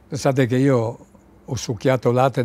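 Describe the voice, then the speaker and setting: A man speaks in a dark, mellow tone, recorded dry with no echo. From Zadar, Dalmatia (Italian-speaking community); Dalmatia. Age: 80s+. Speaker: war refugee witness; witness. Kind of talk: oral history interview. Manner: halting.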